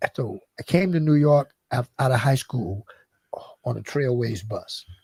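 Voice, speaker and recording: This man has an American accent and a dark, mellow, somewhat breathy tone. His intonation is lively, and the sound is dry and close with no echo. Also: medium pitch for a man, fairly slow pace. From US South, Aiken County, South Carolina. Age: 70s. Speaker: former basketball coach and manager. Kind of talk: interview. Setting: radio/streamed talk show.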